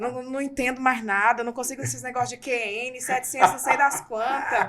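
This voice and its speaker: A woman speaks at a moderate pace in a high-pitched, raised and projected voice with an animated tone while music plays in the background. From Mato Grosso, Brazil. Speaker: psychoanalyst and journalist. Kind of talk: casual interview.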